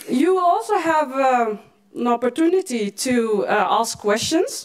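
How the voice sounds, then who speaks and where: Very slowly, a woman speaks. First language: Moroccan Tamazight (Berber), then Dutch. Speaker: event moderator. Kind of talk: event moderation. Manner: halting.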